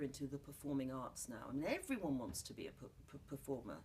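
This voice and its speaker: A woman with a southern English accent over noticeable background noise. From London, England. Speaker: playwright and actor. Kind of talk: interview. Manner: animated.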